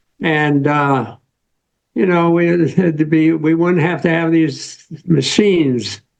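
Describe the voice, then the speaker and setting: A man at fairly high pitch with ordinary pitch variation and a very slow pace. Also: very even loudness. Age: 90s. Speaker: retired social scientist, co-presenter. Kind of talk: casual remarks to audience. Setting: video call on a laptop. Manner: halting.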